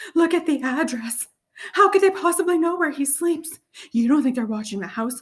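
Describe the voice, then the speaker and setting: A woman uses a put-on character voice, high-pitched and shaky. Her intonation is lively and her pace moderate. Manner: quivering, fearful.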